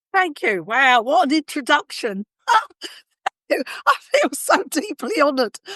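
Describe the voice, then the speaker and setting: A woman with a bright, sharp tone and a raised, projected voice speaks high and at a fairly slow pace, taking long, frequent pauses, her pitch swinging very widely while her loudness stays very even, in a dry, close sound with no echo. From London, England (working-class). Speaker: compassionate communication trainer. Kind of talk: interview conversation.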